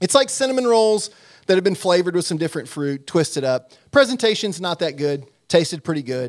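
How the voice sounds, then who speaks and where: Male speech with a high pitch and very wide pitch swings at a fairly quick pace, in a very clean recording with a silent background. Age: 40s. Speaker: sports commentator. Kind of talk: casual chat.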